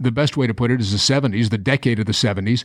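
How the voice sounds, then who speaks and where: A man at medium pitch in a normal speaking voice, with ordinary pitch variation, in a very clean recording with a silent background. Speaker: sports show host. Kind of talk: broadcast interview.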